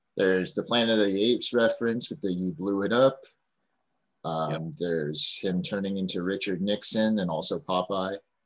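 A man with an ordinary speaking voice, at a moderate pace and with ordinary pitch variation, on a very clean recording with a silent background. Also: fairly low pitch for a man. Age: 30s. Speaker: podcast host and comedian. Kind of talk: casual chat.

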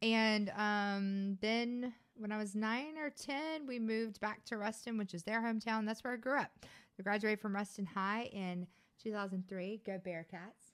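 A woman with a Louisiana accent at a moderate pace. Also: fairly high pitch for a woman, ordinary pitch variation. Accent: Louisiana Southern US. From Louisiana, US South. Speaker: podcast co-host, business manager. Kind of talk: casual chat. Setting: studio, on camera.

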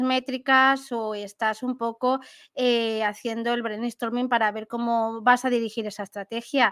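A woman with a Valencian accent speaks at a fairly slow pace in a high voice, on a very clean recording with a silent background. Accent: Valencian accent, noticeable. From Valencia region, Spain. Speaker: marketing specialist and podcaster. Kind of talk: interview conversation.

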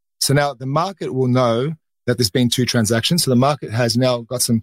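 The speaker is a man. He has an Australian accent. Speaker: carbon market broker. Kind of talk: casual chat. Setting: studio.

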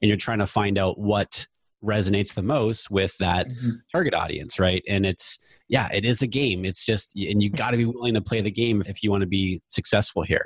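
At a fairly quick pace, a man with an American accent speaks in a fairly low, somewhat breathy voice. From US, New Hampshire. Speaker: Facebook ads expert, podcast host. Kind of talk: casual interview chat.

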